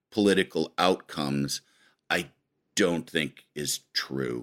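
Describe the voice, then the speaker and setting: Captured in a dry, close sound with no echo, a man speaks at a very slow pace with lively intonation. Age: 50s. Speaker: late night comedy writer. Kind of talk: interview.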